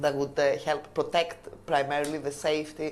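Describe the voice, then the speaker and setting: Amid noticeable background noise, a woman speaks with a Greek accent in a very deep, low pitch. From Greece, Crete. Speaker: language exam candidate. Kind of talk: oral exam interview. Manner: hesitant, many fillers.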